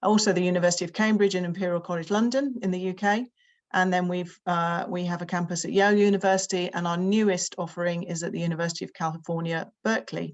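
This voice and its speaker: A very fast delivery in a British accent, with fairly even intonation. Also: woman, fairly low pitch for a woman. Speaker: summer school representative. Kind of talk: presentation. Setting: video call with screen share.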